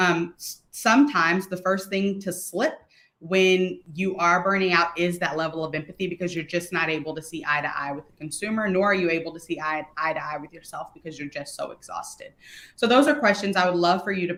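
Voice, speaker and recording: A woman speaks in a normal speaking voice with ordinary pitch variation. Her pace is fairly quick. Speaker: customer experience speaker. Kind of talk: webinar presentation.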